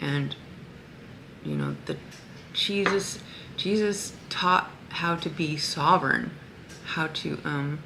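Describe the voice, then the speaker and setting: Amid noticeable background noise and audible room echo, a woman speaks very slowly with long, frequent pauses, her pitch very deep and low with ordinary variation. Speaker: spiritual vlogger. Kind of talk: casual vlog monologue. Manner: halting, many fillers.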